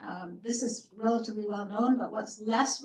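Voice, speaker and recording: A somewhat breathy woman's voice, fairly high in pitch, fairly quick in pace, with monotone, flat intonation. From Canada. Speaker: professor, report author. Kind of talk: panel Q&A answer. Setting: hybrid event with audience.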